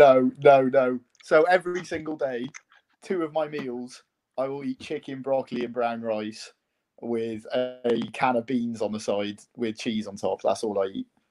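A man with a Welsh accent speaks at a fairly slow pace, medium in pitch with ordinary pitch variation. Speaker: university sports club committee member.

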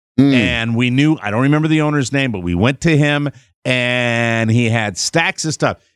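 In an American accent, a man at medium pitch talks at a moderate pace in a plain, everyday voice. The recording is very clean with a silent background and a dry, close sound with no echo. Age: 60s. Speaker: radio host. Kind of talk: casual chat. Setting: studio.

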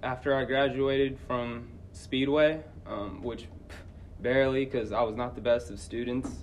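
In a room with audible echo, a man at medium pitch speaks fairly slowly, with long, frequent pauses and big swings in loudness. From Indianapolis, Indiana. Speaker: middle school teacher. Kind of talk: interview, personal life story. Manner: casual, hesitant with many fillers.

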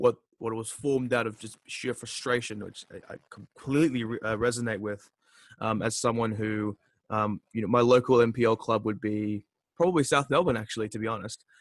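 A man speaks with an Australian accent at a moderate pace and medium pitch. His intonation stays fairly even while his loudness swings widely, and the sound is dry and close with no echo. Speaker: podcast host. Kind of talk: interview.

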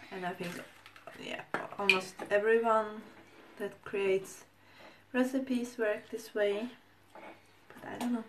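A woman with a non-native accent speaks at a fairly high pitch with fairly even intonation. Her pace is very slow, with long, frequent pauses over noticeable background noise. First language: not English. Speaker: food vlogger. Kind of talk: tutorial. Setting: home kitchen. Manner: halting.

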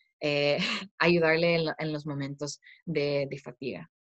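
A woman's very deep, low voice with an American accent, fairly even intonation, long, frequent pauses and a dry, close sound with no echo. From United States. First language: English (speaking Spanish). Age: 20s. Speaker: startup founder. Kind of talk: interview. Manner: halting.

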